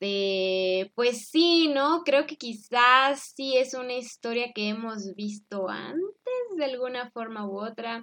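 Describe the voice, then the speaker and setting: Speaking at a very slow pace, a woman has a high-pitched, bright, sharp tone and lively intonation. Her loudness swings widely. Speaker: podcast host. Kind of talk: casual chat.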